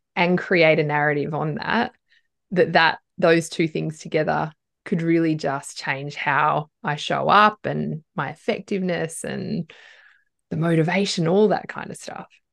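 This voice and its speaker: Vocal fry marks this woman's fairly low pitch, with ordinary pitch variation. She speaks at a fairly slow pace over a quiet background. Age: 40s. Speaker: podcast host and leadership coach. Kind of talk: casual interview.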